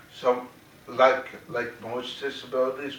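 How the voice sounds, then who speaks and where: There's noticeable background noise behind a man's voice. The room echo is audible as well. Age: 30s. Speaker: theater director and actor. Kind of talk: talk to audience. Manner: articulate; repetitive, halting restarts.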